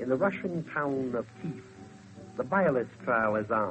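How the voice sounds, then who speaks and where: A man's medium-pitched voice, lively in intonation, at a moderate pace, with music in the background. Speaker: radio commentator. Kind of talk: 1930s radio commentary.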